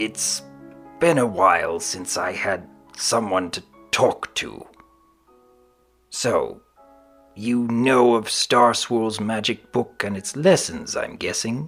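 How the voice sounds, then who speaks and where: Using a put-on character voice, a man speaks at a very slow pace with long, frequent pauses while faint music plays in the background. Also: medium pitch for a man. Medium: read story. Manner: gruff, commanding.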